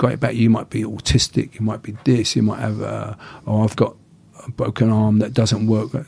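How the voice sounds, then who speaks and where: A man with an English accent speaks at medium pitch with vocal fry. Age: 60s. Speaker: martial arts instructor. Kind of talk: casual chat.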